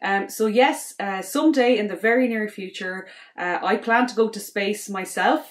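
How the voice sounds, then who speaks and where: Talking at a moderate pace, a woman in an Irish accent has a fairly high pitch and ordinary pitch variation. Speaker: space educator and astronaut candidate. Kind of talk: promotional self-introduction. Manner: hesitant, many fillers.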